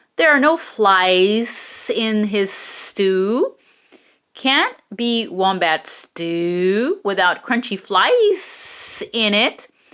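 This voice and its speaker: A put-on character voice speaks at a very slow pace and a fairly high pitch. There is hissing, though the recording is very clean with a silent background. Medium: read story.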